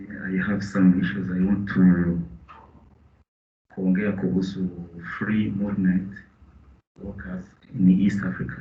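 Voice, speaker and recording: With audible room echo, a speaker with a Burundian accent talks at a fairly slow pace in a somewhat breathy, monotone, flat delivery broken by long, frequent pauses. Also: man, very deep, low pitch for a man. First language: Kirundi. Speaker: business representative. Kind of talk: meeting contribution. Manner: halting.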